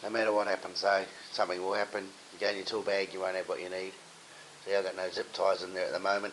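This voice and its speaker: A man's very fast, fairly low-pitched speech in a monotone, flat intonation, with noticeable background noise. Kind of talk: casual talk to camera.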